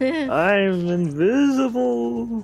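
At a middle pitch, this put-on character voice makes very wide pitch swings over faint music in the background. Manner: spooky, drawn-out.

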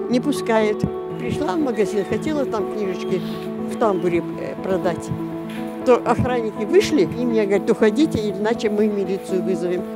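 A woman speaks at a moderate pace with long, frequent pauses. The sound is dry with no echo, and loud music plays in the background. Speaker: self-published fairy tale author. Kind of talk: interview answer. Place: street.

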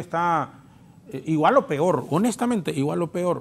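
A man talks with a Honduran accent. His pitch is high. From Honduras. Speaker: congressman; politician panel guest. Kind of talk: political talk show panel. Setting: TV studio. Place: studio. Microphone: lapel.

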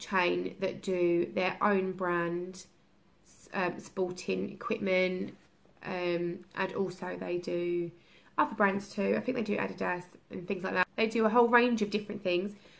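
A woman talks at a fairly slow pace with fairly even intonation. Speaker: parent vlogger. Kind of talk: casual vlog chat. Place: home room. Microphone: phone near.

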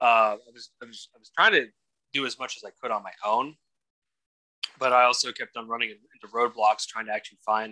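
This man's voice has a bright, sharp tone. His loudness swings widely. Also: quiet background. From Atlanta, Georgia; Georgia. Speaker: podcast guest. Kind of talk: interview testimony. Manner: halting, many repetitions. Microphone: video call.

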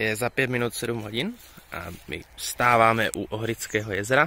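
A man at a fairly low pitch and fairly slow pace, with a dry sound, no echo, and light background noise. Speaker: travel vlogger. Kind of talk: casual vlog chat. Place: waterside. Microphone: phone near.

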